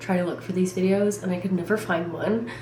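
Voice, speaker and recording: A woman with a fairly low pitch speaks loudly and with fairly even intonation, amid noticeable background noise and audible room echo. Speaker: vlogger, college student. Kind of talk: casual vlog chat.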